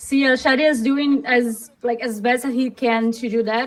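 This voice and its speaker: Here a woman talks at a moderate pace. Her voice is high in pitch. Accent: Portuguese. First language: Portuguese. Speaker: esports caster. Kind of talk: live commentary. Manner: halting.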